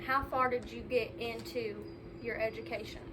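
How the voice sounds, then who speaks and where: A woman speaks at a moderate pace. Noticeable background noise and audible room echo surround her voice. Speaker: student interviewer. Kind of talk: family interview.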